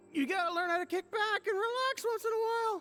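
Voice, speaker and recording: An extremely high put-on character voice rushes along at a very fast pace. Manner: casual, pushy, persuading.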